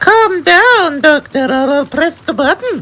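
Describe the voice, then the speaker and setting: In a put-on character voice, a woman speaks high and fairly slowly, her pitch swinging very widely. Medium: read story.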